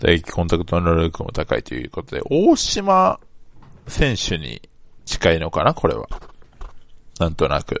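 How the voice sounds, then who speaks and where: The speaker talks at a fairly slow pace, with big swings in loudness and long, frequent pauses. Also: man. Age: 20s. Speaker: sports fan podcaster. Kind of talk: casual solo monologue.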